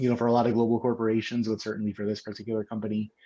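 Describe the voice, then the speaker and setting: In a quiet background, a man with a fairly low pitch speaks in a monotone, flat intonation. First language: not English. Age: 30s. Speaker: English language teacher. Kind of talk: casual interview. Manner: hesitant, many fillers.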